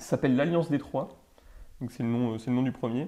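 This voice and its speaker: Medium male pitch carrying a dark, mellow tone. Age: 20s. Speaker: law student, podcast panelist. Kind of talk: casual chat. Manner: animated.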